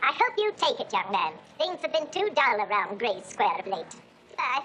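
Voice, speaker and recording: A woman's put-on character voice, high-pitched, with very wide pitch swings and a moderate pace. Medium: short film. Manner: arch, insinuating.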